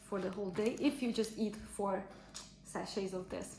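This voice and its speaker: With a non-native accent, a woman of medium pitch talks at a moderate pace amid noticeable background noise and audible room echo. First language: not English. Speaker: fitness trainer. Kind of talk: casual vlog review. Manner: halting, many fillers.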